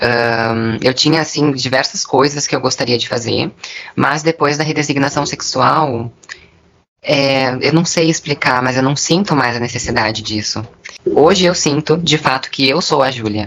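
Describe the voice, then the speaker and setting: This woman has a very deep, low voice. She talks at a fairly slow pace with ordinary pitch variation. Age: 20s. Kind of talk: interview testimony.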